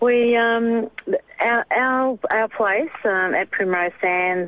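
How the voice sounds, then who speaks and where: At a very slow pace, a woman talks in an Australian accent. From Tasmania, Australia. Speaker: bushfire survivor interviewee. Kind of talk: interview. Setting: phone call.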